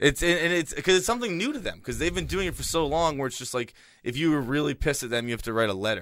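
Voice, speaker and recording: A man with an American accent speaks at a very fast pace, his fairly high pitch swinging very widely and marked by vocal fry. The recording is very clean, with a silent background. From Boston. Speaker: podcaster. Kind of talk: casual chat.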